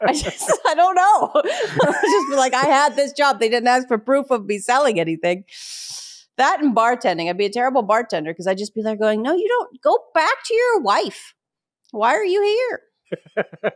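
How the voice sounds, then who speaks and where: A woman with a slight Pittsburgh accent talks at a moderate pace in a high, animated voice with very wide pitch swings, the sound dry and close with no echo. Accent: slight Pittsburgh accent, reduced by lessons. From Pittsburgh, US. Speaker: stand-up comedian and military spouse. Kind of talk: podcast interview.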